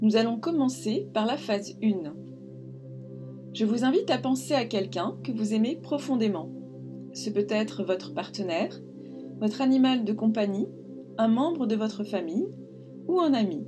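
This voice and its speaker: A woman speaks in a calm tone at a fairly high pitch with lively intonation. Long, frequent pauses break her speech as music plays in the background. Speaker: meditation guide. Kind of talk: guided meditation. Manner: calm, soft-spoken, slow.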